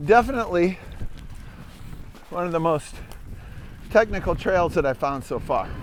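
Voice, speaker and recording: With an American accent, a man talks at a high pitch and with lively intonation, leaving long, frequent pauses. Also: moderate pace. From Upper Peninsula of Michigan. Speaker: mountain bike trail reviewer. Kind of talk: ride-along commentary. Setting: outdoors, riding a mountain bike. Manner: casual, conversational.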